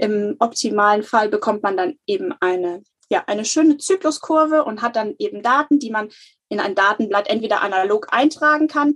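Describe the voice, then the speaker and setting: Heard in a dry, close sound with no echo, an unremarkable speaking voice moves at a moderate pace with lively intonation. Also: woman. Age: 30s. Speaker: natural family planning counselor. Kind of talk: interview.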